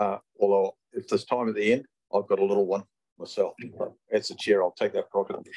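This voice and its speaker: A man in a New Zealand accent speaks at a fairly quick pace against a quiet background. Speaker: committee chair. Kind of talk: formal meeting chairing. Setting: council meeting room. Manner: hesitant, many fillers. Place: meeting room. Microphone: podium.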